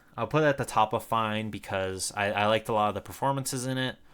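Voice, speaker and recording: Mumbling at a fairly quick pace, a man speaks with a fairly low pitch and ordinary pitch variation on a very clean recording with a silent background. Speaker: YouTuber reviewing movies. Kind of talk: casual monologue review. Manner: halting, many repeated words.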